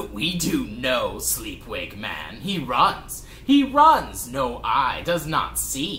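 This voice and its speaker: Over clear background noise, a man does a put-on character voice at a very slow pace. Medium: read story. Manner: clipped one-syllable broken speech; menacing.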